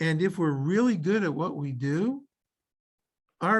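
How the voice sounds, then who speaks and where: A high male voice with ordinary pitch variation against a quiet background. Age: 70s. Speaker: rabbi. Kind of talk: community Q&A on Zoom.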